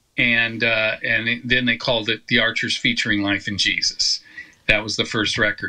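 There is noticeable background noise as a man speaks in an American accent at medium pitch. His intonation is monotone and flat, and his pace is moderate. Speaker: gospel singer. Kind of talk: interview.

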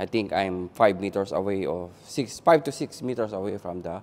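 Fairly slow speech from a man. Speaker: presenter. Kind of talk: product review demo. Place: shop. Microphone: lapel.

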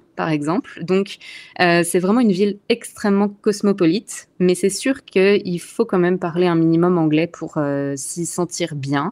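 This is a normal speaking voice at a moderate pace with ordinary pitch variation. The recording is very clean against a silent background. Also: woman. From Alsace, eastern France. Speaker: expat, communications officer. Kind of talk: interview conversation.

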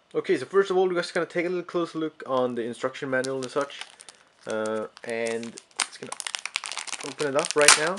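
The speech moves at a fairly quick pace but has long, frequent pauses. Noticeable background noise runs underneath. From Sweden. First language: Swedish. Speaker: tech YouTuber. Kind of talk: unboxing video. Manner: casual, hesitant with many fillers. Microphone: phone near.

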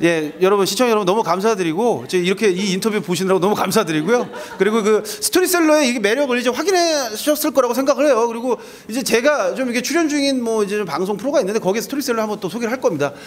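A man's high voice races at a very fast pace, animated in tone with lively intonation. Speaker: music journalist interviewer. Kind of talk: backstage interview. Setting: backstage at concert venue. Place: hall. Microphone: handheld.

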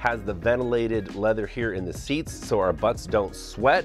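Clear music plays behind the voice. A man talks at a moderate pace with ordinary pitch variation. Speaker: home theater hobbyist creator. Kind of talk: casual vlog tour.

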